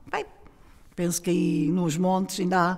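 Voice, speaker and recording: A woman is heard against a quiet background. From Portugal, Lisbon area (Almada), Alentejo roots; Portugal. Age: 70s. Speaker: oral history witness; witness. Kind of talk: testimony. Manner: halting.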